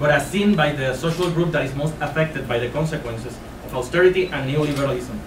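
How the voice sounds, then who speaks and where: A man's fairly high voice with a Spanish accent at a very fast pace and ordinary pitch variation, amid audible room echo and noticeable background noise. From Puerto Rico. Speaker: high school physics teacher and union activist. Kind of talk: speech read from a prepared text. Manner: halting, with frequent hesitations.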